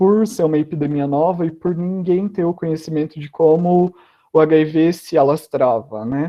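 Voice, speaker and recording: In an ordinary speaking voice, a man talks at a fairly slow pace and fairly high pitch with fairly even intonation. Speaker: guest speaker at school online event. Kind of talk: educational talk. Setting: online live stream.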